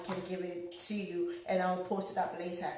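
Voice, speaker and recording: A woman speaks at a medium pitch in a monotone, flat intonation, with audible room echo and noticeable background noise. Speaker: home cook vlogger. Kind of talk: cooking tutorial. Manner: casual, many fillers.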